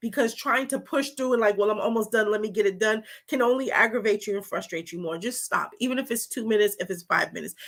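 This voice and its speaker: A woman's animated tone, fairly high in pitch with ordinary pitch variation at a fairly quick pace, on a very clean recording with a silent background. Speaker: holistic health coach. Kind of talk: live-stream wellness talk. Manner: fast.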